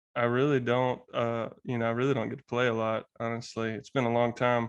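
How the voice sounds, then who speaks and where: Speaking at a fairly quick pace with monotone, flat intonation, a man talks with a Southern US accent. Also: medium pitch for a man. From US South, Alabama. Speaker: podcast guest. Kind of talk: casual conversation.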